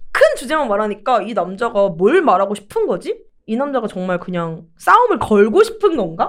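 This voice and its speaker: A woman speaks at a moderate pace with a fairly high pitch, lively intonation and hardly any pauses. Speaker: podcast co-host. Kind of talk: casual chat. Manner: gruff, rough-spoken.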